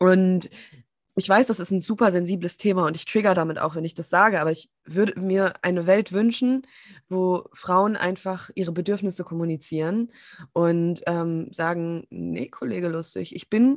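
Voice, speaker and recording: A woman talks at a moderate pace in a plain, everyday voice. Her pitch is fairly low with ordinary variation, against a quiet background. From Germany, small town. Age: 30s. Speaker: business and empowerment coach. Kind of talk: casual interview. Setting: video call.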